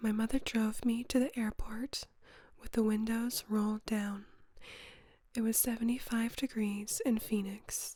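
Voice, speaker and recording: A woman with a fairly high pitch speaks very slowly, leaving long, frequent pauses. Her voice is somewhat breathy, with monotone, flat intonation. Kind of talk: soft-spoken ASMR audiobook reading.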